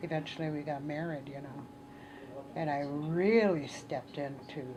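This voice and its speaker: A woman's very deep, low voice at a moderate pace, fairly even intonation and big swings in loudness, with noticeable background noise and audible room echo. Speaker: Ojibwe elder and cultural teacher. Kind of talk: interview, personal life story. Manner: halting, many fillers.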